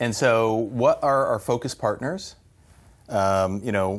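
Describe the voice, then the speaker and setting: A man talks at a fairly slow pace, his pitch medium with ordinary variation. The recording is very clean, with a silent background. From New Mexico, US Southwest. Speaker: partner marketing executive. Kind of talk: casual interview. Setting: in person over coffee. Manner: energetic.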